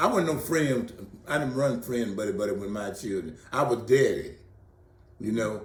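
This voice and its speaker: Audible room echo surrounds a man speaking at a medium pitch and a moderate pace. His tone is animated and his intonation lively. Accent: American. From Texas, Greenville. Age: 70s. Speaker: local elder interviewed for museum oral history. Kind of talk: oral history interview. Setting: interview for museum exhibit. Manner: animated, repetitive.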